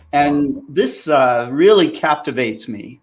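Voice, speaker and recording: A voice with an American accent comes through on a very clean recording with a silent background. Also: man. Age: 60s. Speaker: amateur astronomer. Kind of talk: casual chat. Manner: halting.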